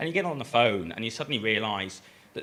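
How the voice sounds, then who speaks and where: A man talks with a bright, sharp tone and lively intonation. Audible room echo surrounds his voice. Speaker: design program director. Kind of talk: conference presentation. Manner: hesitant with many fillers.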